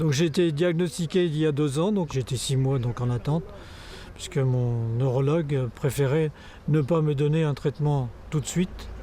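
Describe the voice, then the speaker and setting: The voice has a dark, mellow tone and is somewhat breathy, with very even loudness, fairly even intonation, a fairly slow pace and long, frequent pauses. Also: man. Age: 70s. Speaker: sports photographer living with Parkinson's. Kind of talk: testimony. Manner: halting, many hesitations.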